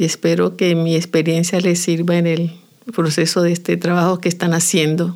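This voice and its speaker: In a normal speaking voice, a woman talks at a fairly quick pace with a fairly low pitch. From Colombia, Chocó (Andagoya). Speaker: folk dance teacher. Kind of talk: interview.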